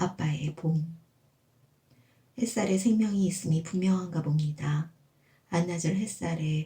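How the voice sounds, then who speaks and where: Somewhat breathy and calm, gentle in tone, a woman with a fairly low pitch speaks at a fairly slow pace with ordinary pitch variation. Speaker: amateur writer reading own essay. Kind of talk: personal essay audiobook reading.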